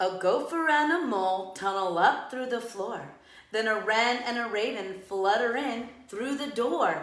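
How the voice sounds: Reading voice, natural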